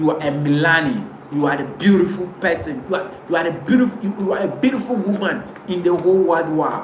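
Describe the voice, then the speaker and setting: At a moderate pace, a man with a Ghanaian accent speaks in a high pitch, with noticeable background noise and audible room echo. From Ghana, Ewe speaker. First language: Ewe. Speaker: pan-African commentator. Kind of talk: live stream monologue. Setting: live video stream to camera. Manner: impassioned, repetitive.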